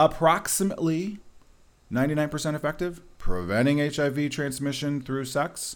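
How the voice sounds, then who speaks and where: Ordinary pitch variation in a man's fairly high-pitched voice. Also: moderate pace. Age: 40s. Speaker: nurse practitioner. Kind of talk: interview.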